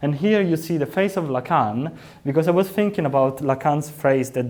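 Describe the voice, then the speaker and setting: Dark and mellow in tone, the man's voice shows ordinary pitch variation. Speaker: PhD student researcher. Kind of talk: academic seminar talk.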